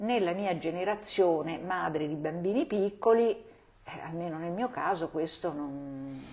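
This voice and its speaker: A woman talks in a plain, everyday voice at a fairly low pitch and a fairly slow pace. Her pitch varies in an ordinary way, while her loudness swings widely. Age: 60s. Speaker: mother of the host. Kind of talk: casual interview.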